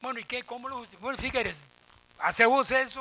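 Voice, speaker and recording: With a Costa Rican accent, the voice is raised and projected in an animated tone over noticeable background noise. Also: man. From Costa Rica, Desamparados. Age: 70s. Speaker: professor emeritus, panelist. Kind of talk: round-table talk. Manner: animated, colloquial.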